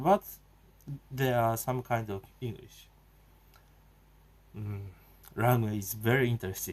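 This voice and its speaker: A man's medium-pitched voice with a Japanese accent, fairly slow and fairly even, broken by long, frequent pauses. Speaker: video blogger. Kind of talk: casual monologue. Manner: halting, many fillers.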